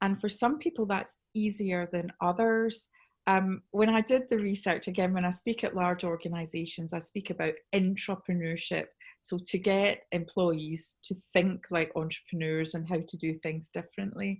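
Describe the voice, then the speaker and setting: With a Scottish accent, a woman speaks in a somewhat breathy voice at medium pitch with ordinary pitch variation. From Scotland. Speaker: sales trainer, conference speaker. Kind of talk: panel presentation. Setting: video call webinar. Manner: slowed down for clarity.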